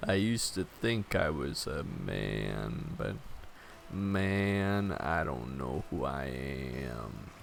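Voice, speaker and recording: Music plays behind a creaky, put-on character voice. The speech comes very slowly. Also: man. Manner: stoner-sounding, drawling.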